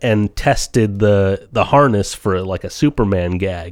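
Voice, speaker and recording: Over a silent background in a very clean recording, a man talks fairly slowly in an ordinary speaking voice. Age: 30s. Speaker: podcast co-host. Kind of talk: casual chat. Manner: laughs often.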